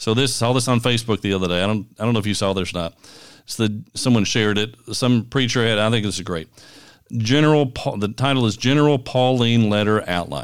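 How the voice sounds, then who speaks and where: Speaking at a fairly quick pace with a Kentucky accent, a man uses medium pitch and ordinary pitch variation in a very clean recording with a silent background. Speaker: podcast co-host, pastor. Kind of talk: casual chat.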